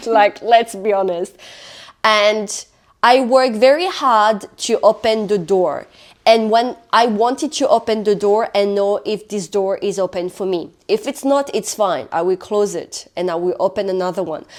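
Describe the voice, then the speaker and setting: Speaking fairly slowly with a French accent, a woman uses a fairly high pitch and ordinary pitch variation. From France. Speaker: podcast co-host. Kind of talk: casual chat.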